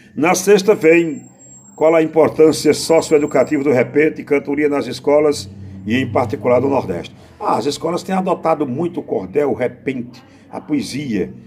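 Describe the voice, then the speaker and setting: A man's fairly high voice moves at a moderate pace with lively intonation, heard over noticeable background noise. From Brazil, Pernambuco (Northeast). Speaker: poet and improvising singer. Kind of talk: interview answers. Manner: halting.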